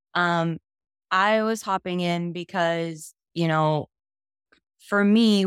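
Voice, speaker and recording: A woman with an ordinary speaking voice, fairly low in pitch, with ordinary pitch variation. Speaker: audience member. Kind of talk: casual chat. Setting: video call.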